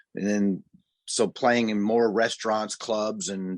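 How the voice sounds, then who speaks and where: A man's fairly low-pitched voice with an American accent, flat and monotone, at a moderate pace, dry and close with no echo, against a quiet background. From US Midwest (southern Missouri, Ozarks). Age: 60s. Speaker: musician and music producer. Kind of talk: casual interview.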